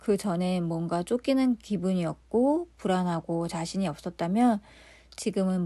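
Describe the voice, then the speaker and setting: Against a quiet background, a woman speaks at a fairly slow pace in a medium pitch, her tone dark and mellow and her intonation lively. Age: 40s. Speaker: YouTuber. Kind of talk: personal story narration.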